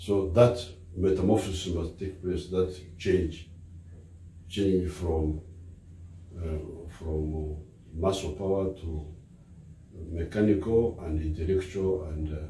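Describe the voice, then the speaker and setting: A man with a Ugandan accent speaks very slowly at a very deep, low pitch, with fairly even intonation and long, frequent pauses. His voice is somewhat breathy with a dark, mellow tone, heard with audible room echo and light background noise. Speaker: politician; speaker. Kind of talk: public speech. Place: home room. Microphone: phone near.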